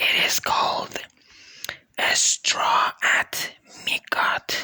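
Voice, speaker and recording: Whispered words come out at a very slow pace. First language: a language other than English or Persian. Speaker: vlogger. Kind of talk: casual monologue. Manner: halting, with frequent fillers.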